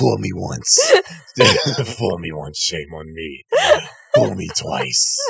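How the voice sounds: In a gravelly put-on character voice, very deep and low, a man speaks very slowly with long, frequent pauses.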